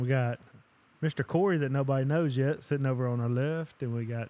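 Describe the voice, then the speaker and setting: Speaking with a Southern US accent, a man uses a medium pitch and fairly even intonation. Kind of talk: casual chat and prayer. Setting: recording in a shop with small audience.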